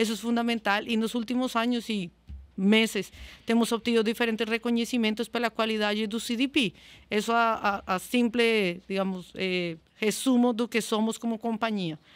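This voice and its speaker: Speaking at a moderate pace with fairly even intonation, a woman talks in a Spanish accent. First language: Spanish (speaking Portuguese). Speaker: customer success manager. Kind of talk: podcast interview. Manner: halting.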